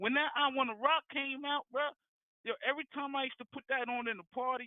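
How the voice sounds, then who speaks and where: Speaking at a fairly quick pace, a man with extremely high pitch keeps his intonation fairly even while his loudness swings a lot. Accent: New Jersey. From New Jersey, Jersey City. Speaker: caller. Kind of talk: casual phone debate. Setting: phone call. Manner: halting, repetitive.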